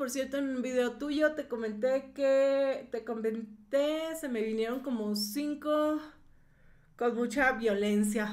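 Against a quiet background, a woman talks at a very slow pace. Her pitch is high and her intonation fairly even. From northern Mexico. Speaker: YouTuber commenting on other creators. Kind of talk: live stream commentary reading chat. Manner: loud. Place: home room. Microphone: webcam.

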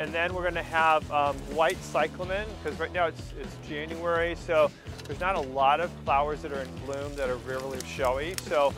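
Over clear background music, a man talks at a moderate pace with hardly any pauses. The sound is dry, with no echo. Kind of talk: casual vlog chat. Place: garden. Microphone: lapel.

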